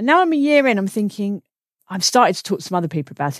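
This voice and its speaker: A woman with a British accent swings very widely in pitch. The recording is very clean, with a silent background. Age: 40s. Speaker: comedian and podcast host. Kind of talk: casual chat.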